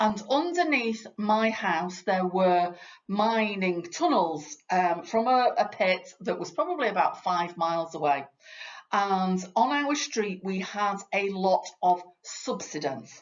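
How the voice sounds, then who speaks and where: Speaking at a very slow pace, a woman has a Yorkshire accent and a medium pitch. Her intonation is lively. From Yorkshire, northern England. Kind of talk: training talk for parents. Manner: conversational, uses fillers.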